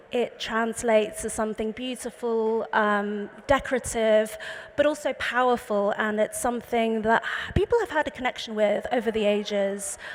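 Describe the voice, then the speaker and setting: Someone with an English accent speaks at a moderate pace and with fairly even intonation, over noticeable background noise. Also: woman. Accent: very English. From England (London). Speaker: artist, painter. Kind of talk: panel talk presenting slides. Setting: panel talk with live audience.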